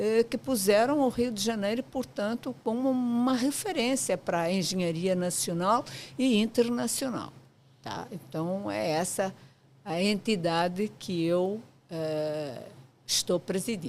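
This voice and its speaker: A woman with a medium pitch and lively intonation talks at a fairly slow pace. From Portugal. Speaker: architect, professional association president. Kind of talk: podcast interview. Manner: hesitant fillers, frequent 'portanto'.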